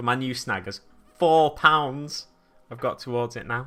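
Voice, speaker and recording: Spoken in a Manchester accent, the voice moves at a fairly slow pace with ordinary pitch variation. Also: man. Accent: Stockport-like Manchester. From Manchester, England (Burnage/East Didsbury). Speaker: miniature painting streamer. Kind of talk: casual live-stream chat. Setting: live stream.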